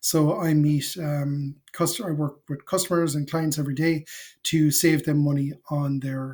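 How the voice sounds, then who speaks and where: With an Irish accent, a man speaks in a fairly high pitch and a monotone, flat intonation. His tone is dark and mellow, and somewhat breathy. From Ireland, Cork. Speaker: FinOps consultant and educator. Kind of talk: casual talk to camera. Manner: halting, many fillers.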